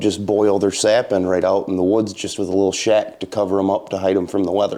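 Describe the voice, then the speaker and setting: A man speaks in an Upper Midwest accent with a fairly low pitch and a dark, mellow tone. His pace is fairly quick and his intonation monotone and flat. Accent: Upper Midwest American. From Michigan, Montcalm County. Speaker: maple syrup producer. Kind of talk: interview. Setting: sugar shack.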